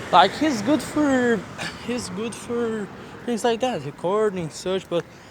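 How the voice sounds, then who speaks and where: A man with a Portuguese accent speaks very slowly in a high pitch, with lively intonation. Noticeable background noise runs underneath. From Brazil. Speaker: content creator. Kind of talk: vent video. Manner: halting.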